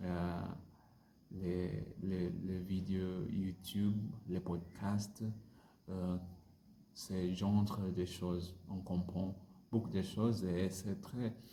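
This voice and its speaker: A man speaks very slowly in a very deep, low voice with a dark, mellow tone and a non-native accent. His intonation stays monotone and flat, with long, frequent pauses and audible room echo. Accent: non-native French learner. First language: not French (speaking French). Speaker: French language learner vlogger. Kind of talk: casual language-practice monologue. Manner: halting, many hesitations and repetitions.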